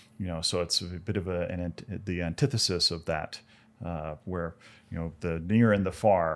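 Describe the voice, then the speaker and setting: A man's very deep, low voice at a moderate pace, with fairly even intonation, on a very clean recording with a silent background. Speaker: astronomer. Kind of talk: casual chat.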